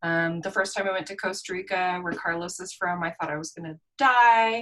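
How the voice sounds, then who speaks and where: With an American accent and an unremarkable speaking voice, a woman talks at a fairly quick pace and medium pitch, using ordinary pitch variation and big swings in loudness. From Utah (Park City). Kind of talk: casual chat.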